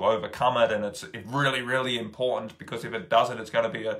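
Talking very fast, a man is heard against a quiet background. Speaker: spiritual teacher. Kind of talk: casual vlog chat. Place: home room. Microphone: phone near.

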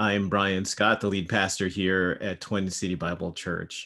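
His very deep, low voice moves at a fairly slow pace. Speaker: pastor. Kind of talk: sermon. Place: home room. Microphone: webcam.

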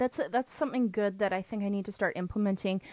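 Recorded dry with no echo against a quiet background, a woman talks with ordinary pitch variation. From Canada. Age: 20s. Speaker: podcast host. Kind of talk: casual chat. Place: home room. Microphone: studio mic.

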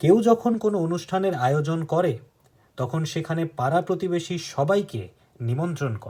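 A high-pitched man talks with lively intonation. His loudness swings widely. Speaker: book narrator and channel host. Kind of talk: reading aloud; casual commentary.

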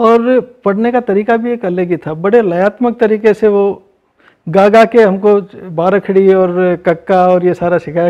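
Against a quiet background, a man with a high pitch and a dark, mellow tone talks at a fairly slow pace with ordinary pitch variation. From Rajasthan, Lalsot; Rajasthan. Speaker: artist; interviewee. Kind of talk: interview. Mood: warm, smiling, reflective. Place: home room. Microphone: lapel.

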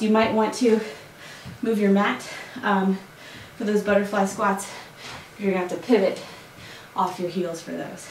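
Audible room echo and light background noise surround a woman. She speaks at a moderate pace with ordinary pitch variation. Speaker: fitness instructor. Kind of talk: workout tutorial instruction. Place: home room. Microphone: camera far.

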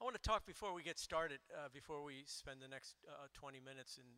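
A man is speaking. His pace is fairly quick. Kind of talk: sermon-like introduction before worship. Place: church. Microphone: handheld.

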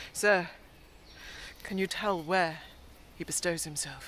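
Speaking at a fairly slow pace with ordinary pitch variation, a woman is heard in a dry recording with no echo and light background noise. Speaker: actor performing a monologue. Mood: intense, ironic, theatrical. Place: forest. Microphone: phone near.

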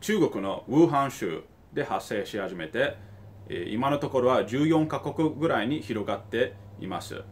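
Speaking at a fairly slow pace, a man with a medium pitch sounds somewhat breathy, his pitch swinging very widely. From Tokyo, Japan. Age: 30s. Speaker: investor and finance YouTuber; investor commentator. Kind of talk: video commentary. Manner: halting, with many fillers. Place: home room. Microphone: phone near.

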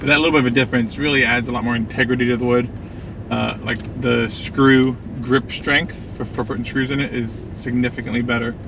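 Over noticeable background noise, a man speaks at a fairly quick pace with monotone, flat intonation in a dry sound with no echo. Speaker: vlogger driving. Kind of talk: casual vlog chat. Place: car. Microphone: camera far.

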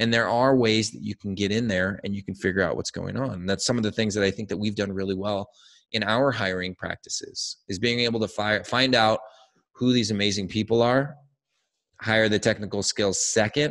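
Fairly low in pitch, a man talks at a fairly quick pace with fairly even intonation. The background is quiet. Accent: American. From Southern California. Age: 40s. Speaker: digital agency founder. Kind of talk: interview. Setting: video call. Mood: friendly, upbeat. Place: home room. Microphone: studio mic.

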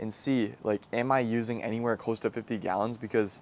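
A man talks at a moderate pace, and the sound is dry with no echo. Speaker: car detailing creator. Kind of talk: casual vlog chat. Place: garden. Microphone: lapel.

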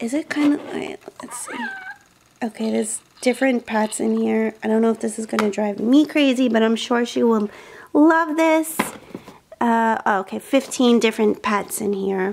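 At a moderate pace and with ordinary pitch variation, a woman speaks over light background noise. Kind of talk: casual vlog chat. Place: home room. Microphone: phone near.

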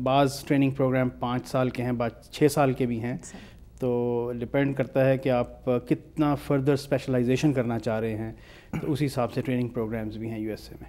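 A man speaks at a moderate pace in a dark, mellow tone. His intonation is fairly even. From Pakistan. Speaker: pain specialist doctor; guest. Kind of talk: interview. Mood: calm, explanatory. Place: studio. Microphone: lapel.

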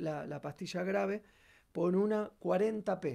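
Against a quiet background, a man with a high pitch speaks very slowly in a dark, mellow tone. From Argentina. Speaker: bassist and singer; guest. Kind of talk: tutorial. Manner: halting, many fillers. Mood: calm, explanatory. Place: studio. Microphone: video call.

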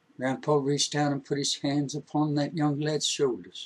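A man talks at a moderate pace in a fairly high pitch, with little pitch movement and a slightly husky edge.

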